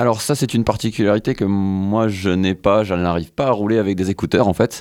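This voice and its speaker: In a very clean recording against a silent background, a man uses an ordinary speaking voice at a fairly low pitch and a moderate pace. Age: 20s. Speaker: scooter rider and sports association volunteer. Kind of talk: radio interview.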